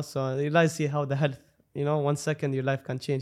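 A man talks at a very fast pace with a fairly high pitch and monotone, flat intonation. The recording is very clean, with a silent background. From Dubai. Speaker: sneaker influencer. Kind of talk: casual interview chat.

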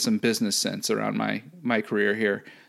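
A man speaks at a fairly quick pace. The recording is very clean and the background silent. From US Midwest, St. Louis, Missouri. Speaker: analytics business manager. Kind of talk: casual interview. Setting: podcast.

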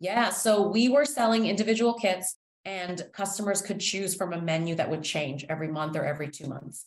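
A woman with a Canadian accent uses a normal speaking voice at a medium pitch, with lively intonation, a fairly quick pace and hardly any pauses. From Toronto, Canada. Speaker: founder of a baking kit business. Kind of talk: interview.

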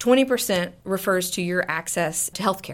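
Using a normal speaking voice, a woman with an American accent talks at medium pitch with ordinary pitch variation. Her fairly quick speech comes through a very clean recording with a silent background. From South Texas, small town. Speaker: nonprofit development executive. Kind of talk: interview.

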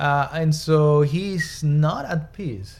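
Very slow in pace, a man speaks with a fairly high pitch. His voice is somewhat breathy. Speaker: doctor or psychiatrist guest. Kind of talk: casual discussion. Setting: studio.

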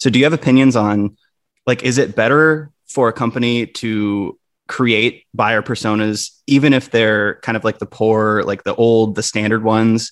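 A man with an American accent and an ordinary speaking voice talks at a moderate pace and medium pitch with fairly even intonation against a quiet background. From Wisconsin. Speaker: podcast host. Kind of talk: podcast interview.

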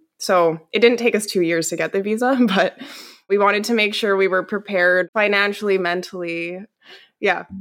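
A woman with a Western Canadian accent talks at a moderate pace, her voice at a medium pitch. Her intonation stays fairly even, with music in the background. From Canada, Calgary, Alberta. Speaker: publishing company employee living abroad. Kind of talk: interview conversation.

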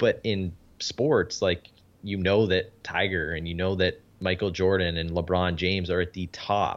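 Very deep and low, a man's voice carries a Canadian accent. He speaks at a fairly slow pace with fairly even intonation. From Canada. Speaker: podcast host and business consultant, former pro golfer. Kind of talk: interview.

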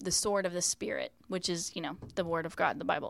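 A woman with an American accent speaks in a plain, everyday voice at a medium pitch, with ordinary pitch variation, on a very clean recording with a silent background. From West Virginia. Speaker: children's ministry leader and performer. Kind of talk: casual interview.

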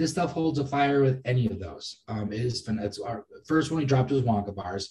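A fairly quick, somewhat breathy voice with an American accent, a dark, mellow tone and ordinary pitch variation. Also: man, medium pitch for a man. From Massachusetts. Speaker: cannabis breeder and cultivator. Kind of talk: casual interview.

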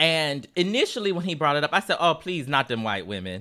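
A man's fairly high, bright, sharp voice with very wide pitch swings on a very clean recording with a silent background. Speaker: podcast co-host. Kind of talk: casual chat.

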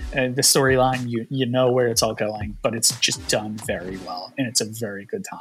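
Through noticeable background noise, a man talks at a moderate pace and medium pitch with ordinary pitch variation. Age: 30s. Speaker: comic book publisher staff. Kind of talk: casual chat.

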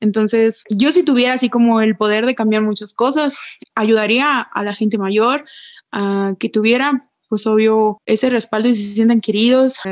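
Over a quiet background, a normal speaking voice moves at a moderate pace with fairly even intonation. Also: woman, fairly high pitch for a woman. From Mexico, Puerto Vallarta. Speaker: Paralympic athlete. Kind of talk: interview.

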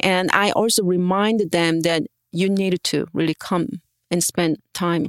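A Korean accent on a very clean recording with a silent background, the sound dry and close with no echo. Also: woman. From South Korea. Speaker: art professor and printmaker. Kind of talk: interview. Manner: halting.

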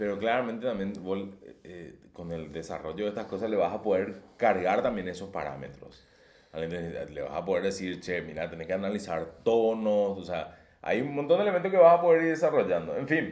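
With audible room echo, a man at fairly low pitch talks at a moderate pace, making very wide pitch swings and big swings in loudness. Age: 30s. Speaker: podcast co-host. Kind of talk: casual chat.

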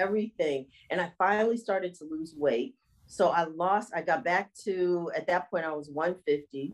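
Pitch varies in an ordinary way in a normal speaking voice. The speaking rate is moderate. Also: woman, fairly low pitch for a woman. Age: 50s. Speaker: fitness instructor and health coach. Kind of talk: casual interview.

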